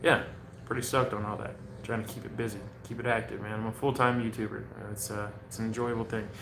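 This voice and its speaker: At a very fast pace, a man speaks in a monotone, flat delivery at medium pitch, with noticeable background noise and audible room echo. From US, mixed (Oregon, Hawaii, many states). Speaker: cannabis vlogger. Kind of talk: casual livestream chat. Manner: laid-back, casual.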